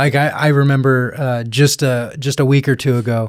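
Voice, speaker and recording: In a very clean recording with a silent background, a man talks at a medium pitch with fairly even intonation. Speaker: wilderness nomad and land steward. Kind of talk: casual chat. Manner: halting.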